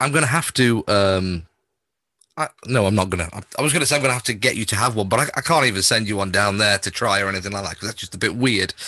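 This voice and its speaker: A man with a northern English accent talks at a very fast pace. His bright, sharp voice sits fairly low, with ordinary pitch variation. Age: 40s. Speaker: podcast host and music radio presenter. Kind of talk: casual interview. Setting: video call.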